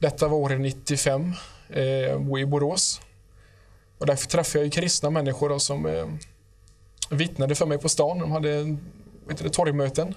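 In a quiet background, a man speaks with a fairly high pitch and a somewhat breathy voice. His intonation is monotone and flat, with long, frequent pauses. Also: moderate pace. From Sweden. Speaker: guest giving testimony; guest. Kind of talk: testimony. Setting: studio. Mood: calm, earnest. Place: studio. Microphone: lapel.

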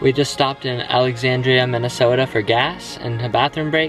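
A man's voice with ordinary pitch variation, dry with no echo, over clear background music. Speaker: travel vlogger. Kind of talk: casual vlog chat. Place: car. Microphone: phone near.

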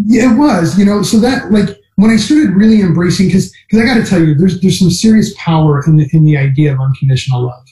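A man talks at a very fast pace with hardly any pauses, his pitch high and his tone dark and mellow. The background is quiet, though room echo can be heard. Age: 40s. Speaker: plant-based diet advocate. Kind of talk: casual interview. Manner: halting, many fillers. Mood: earnest, passionate. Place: home room. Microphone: video call.

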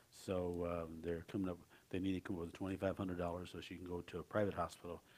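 A man's very deep, low voice at a fairly quick pace, in a monotone, flat intonation. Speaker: pastor. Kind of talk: sermon announcement. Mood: concerned, earnest. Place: church. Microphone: headset.

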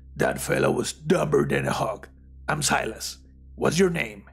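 Putting on a character voice, a man talks at a moderate pace and medium pitch, raspy and gravelly, with very wide pitch swings. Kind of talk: folksy.

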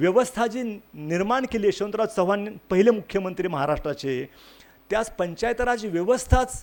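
Lively intonation comes through on a very clean recording with a silent background. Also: man, high pitch for a man. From Maharashtra, Sangli area. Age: 60s. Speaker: retired senior administrator, village development worker. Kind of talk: speech at a felicitation ceremony.

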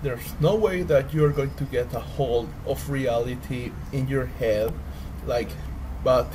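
Fairly slow male speech against noticeable background noise. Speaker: vlogger. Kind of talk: casual vlog chat. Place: home room. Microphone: earbuds.

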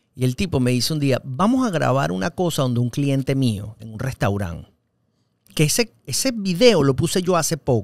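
Against a quiet background with a dry sound and no echo, a man of fairly high pitch speaks at a moderate pace with very wide pitch swings. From Venezuela, Caracas. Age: 40s. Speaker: actor and radio host; actor, radio host. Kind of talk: casual interview. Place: studio. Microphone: studio mic.

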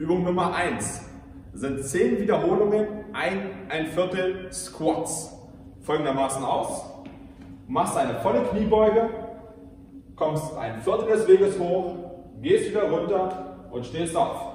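Very slowly and with long, frequent pauses, a man speaks with lively intonation amid strong room echo and light background noise. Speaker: fitness coach. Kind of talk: workout instruction. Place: gym. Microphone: camera far.

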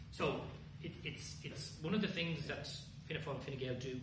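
Amid loud background noise and audible room echo, a man talks with ordinary pitch variation. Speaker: speaker. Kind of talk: answer to audience questions. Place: hall. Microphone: camera far.

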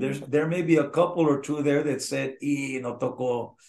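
The speaker has an American accent and ordinary pitch variation. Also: man. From Eagle Pass, Texas. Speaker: Tejano singer. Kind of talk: interview answer. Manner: candid. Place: home room. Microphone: video call.

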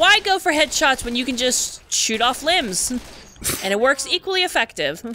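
Against noticeable background noise, a woman projects a raised, high-pitched voice at a moderate pace. Her pitch swings very widely. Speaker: gaming video creator. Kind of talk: casual let's play commentary. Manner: animated, laughs often.

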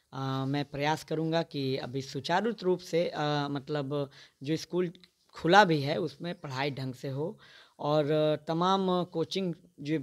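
A man speaks in a normal speaking voice, pitched fairly high, with fairly even intonation. The recording is very clean, with a silent background. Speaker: local politician. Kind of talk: political statement interview.

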